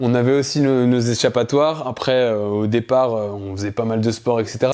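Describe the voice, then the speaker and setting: At a moderate pace, a man talks in a medium pitch with a dark, mellow tone. His intonation stays fairly even. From France, Alsace. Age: 30s. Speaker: naturopath, former young carer. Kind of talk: testimony. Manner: hesitant, many filler sounds.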